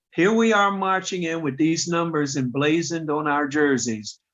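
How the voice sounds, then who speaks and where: A man talks at a fairly slow pace in a plain, everyday voice. His pitch is fairly high, with ordinary variation. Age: 60s. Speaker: kidney transplant recipient, patient organization president. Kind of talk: podcast interview.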